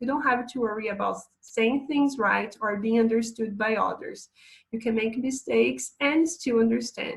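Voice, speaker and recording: A woman with a Portuguese accent, somewhat breathy, speaks at a moderate pace. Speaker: English teacher. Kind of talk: online lesson.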